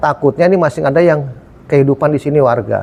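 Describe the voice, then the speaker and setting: At a very fast pace, a man speaks with medium pitch and a dark, mellow tone that is somewhat breathy. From Jakarta. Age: 60s. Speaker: local resident. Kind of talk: street interview.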